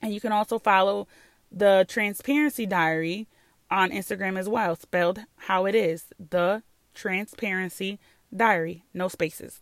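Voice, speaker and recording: With an American accent, a woman speaks at a fairly slow pace in an animated tone with ordinary pitch variation, on a very clean recording with a silent background. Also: dry, close sound with no echo. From New York. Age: 30s. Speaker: podcast host. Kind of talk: casual monologue.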